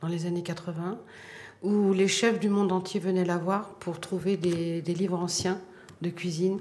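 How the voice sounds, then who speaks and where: Audible room echo and noticeable background noise surround a woman's voice. She has a medium pitch and a Parisian accent, with monotone, flat intonation. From France, Paris. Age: 60s. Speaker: bookseller. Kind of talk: documentary interview. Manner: hesitant, many fillers.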